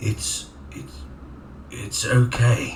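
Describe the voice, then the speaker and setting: A man's put-on character voice, fairly low in pitch, over clear background noise. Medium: game stream. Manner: halting, repetitive, unnatural delivery.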